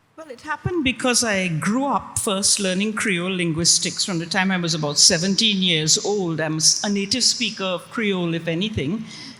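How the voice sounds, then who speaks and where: Over noticeable background noise, a woman speaks with hardly any pauses. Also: medium pitch for a woman, lively intonation, moderate pace. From Trinidad. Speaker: author and linguist. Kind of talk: panel discussion.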